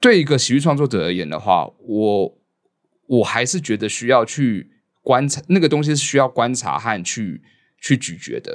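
Vocal fry runs through a man's medium-pitched voice, set on a very clean recording with a silent background. He keeps a moderate pace and lively intonation. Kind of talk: casual chat.

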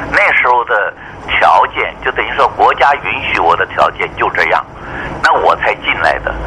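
A man talks at a fairly slow pace with noticeable background noise. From mainland China, moved to Taiwan as a teen. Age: 70s. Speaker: retired air force general and meteorologist. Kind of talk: radio interview.

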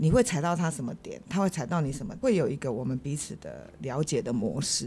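A woman speaks at a fairly quick pace. Her tone is dark and mellow. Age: 60s. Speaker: wife sharing marriage story. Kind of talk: casual interview chat.

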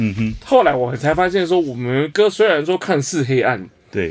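This man has an unremarkable speaking voice with lively intonation. His pace is moderate. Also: very clean recording, silent background. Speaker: band lead singer. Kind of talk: casual chat. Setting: music studio.

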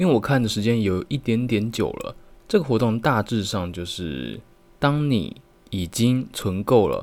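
With a Taiwanese accent and lively intonation, the speaker goes at a fairly slow pace while music plays in the background. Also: man. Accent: Taiwanese Mandarin. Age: 20s. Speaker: multimedia designer and podcaster. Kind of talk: solo podcast monologue.

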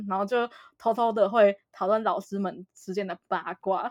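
The speaker is a woman with an unremarkable speaking voice, fairly high in pitch with ordinary pitch variation. She talks at a moderate pace against a quiet background. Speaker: podcast host. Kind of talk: casual chat.

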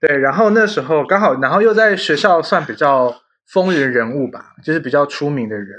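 This man speaks at a moderate pace with a fairly high pitch and very wide pitch swings. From Taiwan, Yunlin. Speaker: podcast host. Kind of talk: casual chat.

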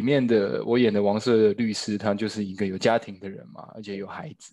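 A man speaks at a fairly quick pace in a fairly low pitch. He has a plain, everyday voice. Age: 30s. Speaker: stage actor and new father. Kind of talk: casual chat. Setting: at home during lockdown.

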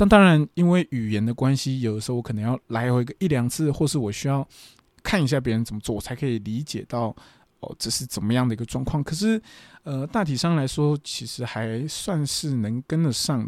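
A man with a medium-pitched voice speaks at a fairly quick pace with lively intonation, in a very clean recording with a silent background and a dry, close sound with no echo. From Taiwan. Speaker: podcast host and professional wrestler. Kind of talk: casual monologue, travel diary. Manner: hesitant, many filler sounds.

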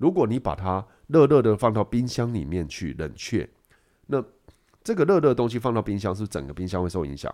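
Speaking at a fairly quick pace, a man with a fairly low pitch and a dark, mellow tone swings his pitch very widely, on a very clean recording with a silent background. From Taiwan. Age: middle-aged. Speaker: food writer and nutritionist. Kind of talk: casual chat. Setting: studio with a kitchen.

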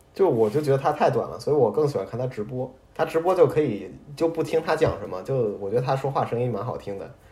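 Speaking very fast, a man with a fairly high, somewhat breathy and dark, mellow voice uses lively intonation. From Beijing, China. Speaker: podcast co-host. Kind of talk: casual chat.

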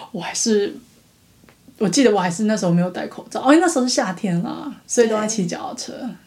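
A woman talks very fast in a fairly high pitch, with lively intonation, big swings in loudness and audible room echo. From Taiwan. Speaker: podcast co-host. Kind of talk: casual chat.

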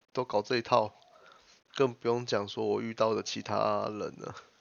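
A man speaks at a medium pitch. His intonation stays monotone and flat. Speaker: podcast host. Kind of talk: casual chat. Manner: halting.

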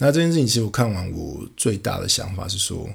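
A man speaks, somewhat breathy. The recording is very clean, with a silent background. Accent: Taiwanese. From Taiwan. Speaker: podcast host. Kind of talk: casual monologue.

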